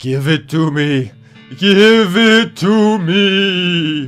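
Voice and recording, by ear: A man uses a put-on character voice, pitched high and delivered at a very slow pace. Faint music plays in the background.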